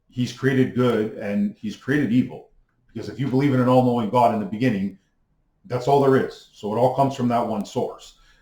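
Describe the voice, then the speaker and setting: Somewhat breathy and dark, mellow in tone, a man speaks at medium pitch with ordinary pitch variation. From Canada. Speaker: YouTuber on mysticism. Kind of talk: monologue lecture. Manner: fast; hesitant fillers.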